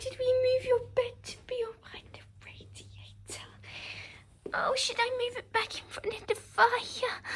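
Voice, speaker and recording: A put-on character voice whispers in a sing-song way. The pace is fairly slow. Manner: cutesy, sing-song, talking to a pet.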